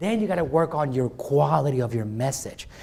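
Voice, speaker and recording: Very wide pitch swings and vocal fry in a man's speech. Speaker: marketing coach. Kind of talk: workshop presentation. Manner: fast; animated.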